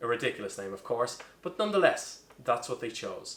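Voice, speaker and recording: A man with an Irish accent talks at a fairly quick pace in a fairly high pitch. His voice swings very widely in pitch. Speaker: bartender. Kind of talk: comedic cocktail tutorial to camera.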